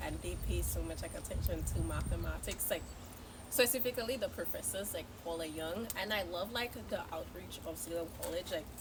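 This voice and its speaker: Audible room echo and noticeable background noise surround a woman who keeps a moderate pace. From Saint Lucia. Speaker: college student. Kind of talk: casual chat. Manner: animated.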